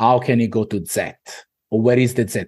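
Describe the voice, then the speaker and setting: The voice is somewhat breathy and moves at a fairly quick pace, with an Italian accent. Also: man. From Italy. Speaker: business owner. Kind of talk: podcast interview. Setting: video call.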